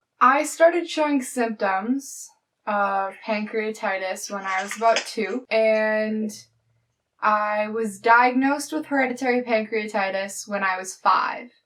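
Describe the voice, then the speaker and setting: The speaker has an unremarkable speaking voice and a Canadian accent. The pace is fairly slow, and the pitch varies in an ordinary way. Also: woman, fairly high pitch for a woman. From Canada, Alberta. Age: 20s. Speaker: university student. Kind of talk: interview testimony.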